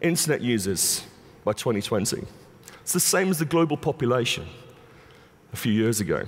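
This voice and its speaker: Speaking at a moderate pace with vocal fry and an English accent, a man leaves long, frequent pauses. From England. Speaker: conference speaker, digital media expert. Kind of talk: conference keynote talk.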